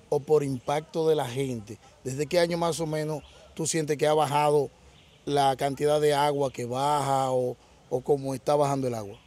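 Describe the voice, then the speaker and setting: A man's dark, mellow tone at a fairly high pitch, fairly slow in pace, in a dry sound with no echo. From Dominican Republic. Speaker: co-interviewer. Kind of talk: interview. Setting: outdoors.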